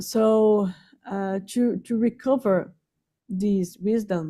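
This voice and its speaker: A woman's medium-pitched voice, dark and mellow in tone, with a non-native accent. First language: not English. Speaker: invited speaker on spirituality. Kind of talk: online talk. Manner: halting, many fillers.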